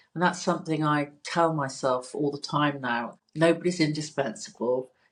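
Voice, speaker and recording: This is a woman speaking with a British accent. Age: 60s. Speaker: cosmetic nurse. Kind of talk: casual chat. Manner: halting.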